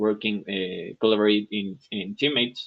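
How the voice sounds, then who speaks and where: A man is speaking. He has a Spanish accent. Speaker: software engineer, English student. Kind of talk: English lesson conversation practice. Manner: halting, many fillers and restarts.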